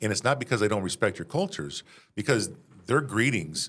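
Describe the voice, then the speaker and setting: In a very clean recording with a silent background, a man's voice moves through very wide pitch swings. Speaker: podcast co-host. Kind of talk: casual interview chat. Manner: fast.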